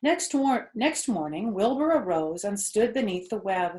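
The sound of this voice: A woman's slightly mellow voice with a slightly husky edge, big pitch swings and a fairly slow pace. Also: medium pitch for a woman.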